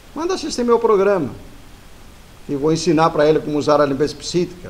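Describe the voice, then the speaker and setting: Male voice over noticeable background noise. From Italy. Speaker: spiritual teacher. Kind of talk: casual talk to camera. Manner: fast; muddled, halting.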